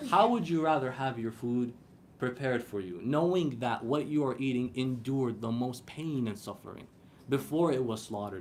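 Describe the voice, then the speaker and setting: With an American accent, a man talks at a moderate pace, his medium pitch showing ordinary variation. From Iraqi. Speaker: Islamic lecturer. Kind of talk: religious lecture to a live audience. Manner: rhetorical, emphatic, explanatory.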